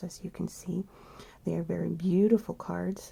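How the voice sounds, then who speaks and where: Noticeable background noise is present. The words come at a fairly quick pace. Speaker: tarot and oracle deck reviewer. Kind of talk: product review walkthrough. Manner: halting, many fillers.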